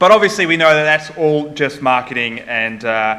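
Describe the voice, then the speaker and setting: A man with a New Zealand accent speaks at a moderate pace, fairly high in pitch, with lively intonation. Audible room echo and noticeable background noise fill the recording. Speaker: conference speaker on security. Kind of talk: conference talk. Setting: stage with audience. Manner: casual, with filler words.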